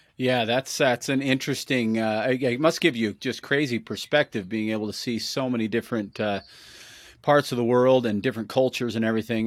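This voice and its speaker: With an unremarkable speaking voice, a man speaks fairly quickly at a medium pitch and with fairly even intonation, on a very clean recording with a silent background. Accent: American. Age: 40s. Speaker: podcast host. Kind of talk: interview.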